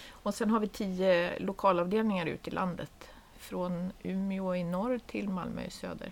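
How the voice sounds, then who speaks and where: In an ordinary speaking voice, a woman speaks at medium pitch and a moderate pace with fairly even intonation. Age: 50s. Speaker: head of a nonprofit association. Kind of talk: casual chat.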